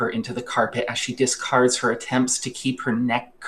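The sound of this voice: The voice reads aloud. It has an unforced reading voice.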